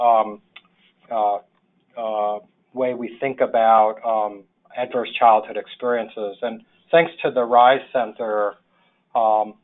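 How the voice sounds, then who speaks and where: Speaking at a fairly slow pace, a man talks with a New York accent. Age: 60s. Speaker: social worker, public health official. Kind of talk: webinar presentation. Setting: webinar. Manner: halting, many fillers.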